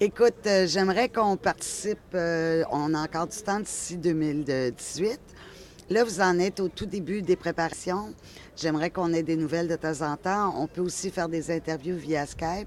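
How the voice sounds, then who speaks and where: Moderately paced, a woman with a Quebec accent talks at a fairly low pitch with ordinary pitch variation. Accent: Québécois. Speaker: interviewer. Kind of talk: interview.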